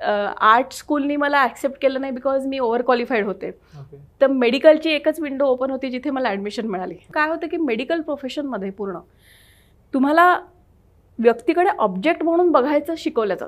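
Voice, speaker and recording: A woman's high-pitched voice shows lively intonation and big swings in loudness against a quiet background. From Maharashtra, India (Vidarbha, Warora area); Maharashtra. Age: 30s. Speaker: doctor and social worker; interviewee. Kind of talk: interview. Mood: reflective, earnest. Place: studio. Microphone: lapel.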